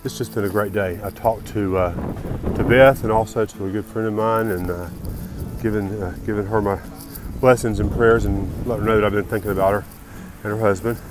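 Over noticeable background noise, a man with fairly low pitch talks at a fairly quick pace with fairly even intonation, the sound dry with no echo. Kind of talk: casual vlog chat. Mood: awed, delighted. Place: open country. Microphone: phone near.

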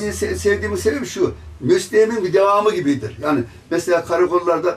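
A man speaks with lively intonation. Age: 80s+. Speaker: retired gendarme, petition writer. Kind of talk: interview; interview answer. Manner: halting. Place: office. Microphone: handheld.

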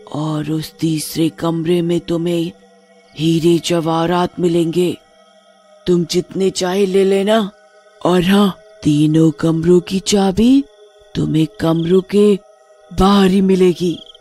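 A put-on character voice at a middle pitch moves very slowly, with long, frequent pauses. Faint music sits in the background. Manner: coaxing, persuasive.

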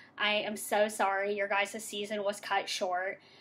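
Light background noise is present. A woman speaks at a fairly high pitch. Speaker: elementary teacher. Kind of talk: awards presentation. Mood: warm, cheerful. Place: home room. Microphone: webcam.

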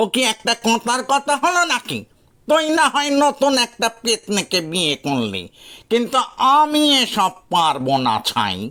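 A man's put-on character voice, extremely high-pitched and fairly slow, on a very clean recording with a silent background. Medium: read story.

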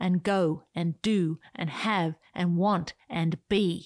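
A woman speaks in a dramatic tone at a medium pitch, with ordinary pitch variation. The sound is dry and close, with no echo. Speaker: podcast host. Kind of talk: scripted audio reading of a written essay, turning into a pep talk. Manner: animated, playful, whimsical; urgent, rousing, emphatic pep-talk delivery with dramatic bursts and soft intimate asides.

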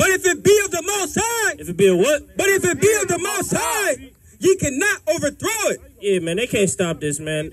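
A man shouting at a moderate pace over noticeable background noise. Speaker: street preacher. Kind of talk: reading aloud. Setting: outdoors. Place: open country.

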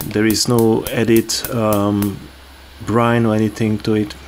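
A man's fairly low voice at a fairly slow pace, with noticeable background noise. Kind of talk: cooking tutorial. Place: kitchen. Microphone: phone near.

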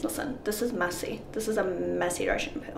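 A woman speaks at a fairly quick pace. Audible room echo and light background noise surround her voice. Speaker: fitness vlogger. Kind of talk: casual vlog chat. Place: bathroom. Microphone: camera far.

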